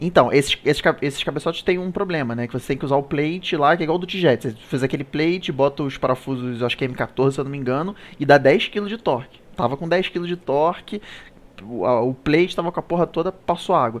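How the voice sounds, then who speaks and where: Speaking at a fairly quick pace, a man with a plain, everyday voice sits at a fairly high pitch with ordinary pitch variation. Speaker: live show host. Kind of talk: casual chat. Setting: live stream.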